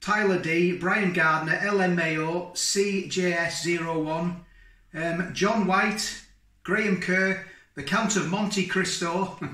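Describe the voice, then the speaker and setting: With audible room echo behind him, a man uses a raised, projected voice at a very slow pace and fairly even intonation. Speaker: food vlogger. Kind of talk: casual vlog chat. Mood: cheerful, grateful. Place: kitchen. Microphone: camera far.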